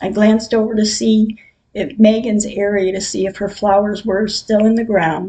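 Somewhat breathy, a woman speaks at a fairly slow pace with a fairly high pitch, a dark, mellow tone and fairly even intonation. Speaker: podcaster sharing personal grief diary. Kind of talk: personal diary reading.

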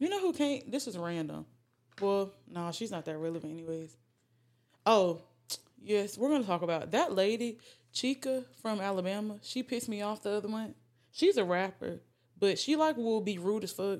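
Over a very clean recording with a silent background, a woman speaks at a medium pitch and a moderate pace with lively intonation. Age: 20s. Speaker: podcast host. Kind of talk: casual chat.

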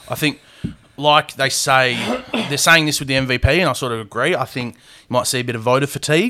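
Speaking at a very fast pace, a man talks in an Australian accent. His pitch is fairly high and his intonation fairly even. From Perth, Australia. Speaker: podcast host. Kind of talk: casual chat.

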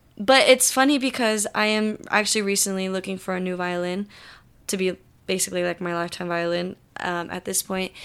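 A woman with an unremarkable speaking voice talks at a fairly quick pace, her medium pitch showing ordinary variation, on a very clean recording with a silent background. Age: young. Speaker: music student, mariachi violinist. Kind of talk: recorded personal story.

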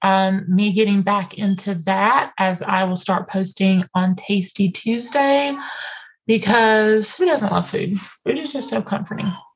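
Fairly slow, somewhat breathy delivery with ordinary pitch variation. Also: woman. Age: 30s. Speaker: podcast host. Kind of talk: casual chat.

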